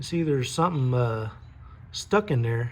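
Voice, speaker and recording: A man talks with a somewhat breathy voice. His intonation is lively. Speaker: DIY car mechanic YouTuber. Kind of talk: casual workshop tutorial. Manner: casual, hesitant with many fillers.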